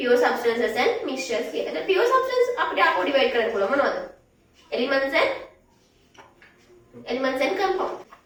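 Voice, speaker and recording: A woman with a high pitch and very wide pitch swings speaks amid audible room echo. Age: 20s. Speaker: science teacher. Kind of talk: lecture.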